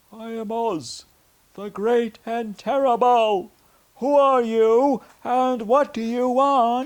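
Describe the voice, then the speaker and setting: A put-on character voice from a man, extremely high-pitched and very slow, with fairly even intonation and big swings in loudness. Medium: read story. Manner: quiet.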